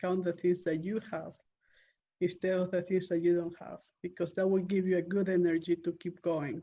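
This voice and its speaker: A woman with a Spanish accent at a moderate pace, her fairly low voice dark and mellow in tone, with monotone, flat intonation. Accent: Spanish-accented English, non-native. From Peru. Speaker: real estate investor. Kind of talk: interview. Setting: call.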